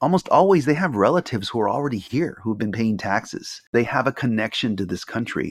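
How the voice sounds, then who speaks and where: With a Californian accent, a man speaks in a lively intonation on a very clean recording with a silent background. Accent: Californian American English. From Los Angeles, US. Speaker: journalist and professor. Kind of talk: interview conversation.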